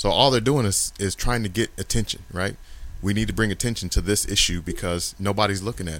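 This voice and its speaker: A man with a fairly low pitch, a fairly quick pace, an ordinary speaking voice and ordinary pitch variation. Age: 40s. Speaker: podcast guest. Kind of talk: casual chat.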